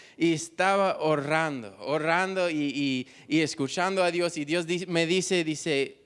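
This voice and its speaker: A man with an English accent speaks in a high pitch with ordinary pitch variation. The recording is very clean, with a silent background. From United States. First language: English (speaking Spanish). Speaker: missionary. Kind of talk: testimony. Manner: halting.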